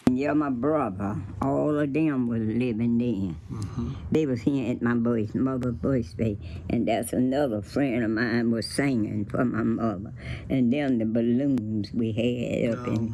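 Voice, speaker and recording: Noticeable background noise sits behind a woman with a very deep, low pitch who speaks at a fairly slow pace. Her pitch varies in an ordinary way and her loudness stays very even. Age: 80s+. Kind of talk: interview answer.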